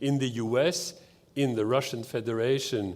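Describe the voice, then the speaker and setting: A man speaks at medium pitch on a very clean recording with a silent background. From France. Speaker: keynote speaker on drug policy. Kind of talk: keynote speech. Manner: halting, many fillers.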